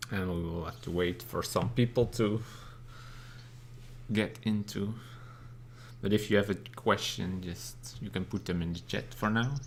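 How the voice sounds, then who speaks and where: Fairly slow speech in a non-native accent, with long, frequent pauses and ordinary pitch variation. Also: man, fairly low pitch for a man. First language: not English. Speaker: bird keeper and channel host. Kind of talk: live stream Q&A. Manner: halting, with frequent fillers.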